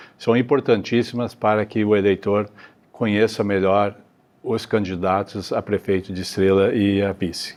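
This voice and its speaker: A man speaks slowly-ish in a fairly low, flat monotone. The background is quiet. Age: 60s. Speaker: mayoral candidate, retired federal police forensic expert. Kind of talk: candidate interview. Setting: auditorium. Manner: hesitant, many fillers.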